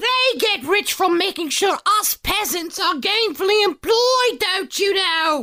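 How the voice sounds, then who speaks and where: Using a put-on character voice that is extremely high for a man, he talks at a fairly slow pace with hardly any pauses. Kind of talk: comic overacting. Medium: audio drama. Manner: chatty, repetitive.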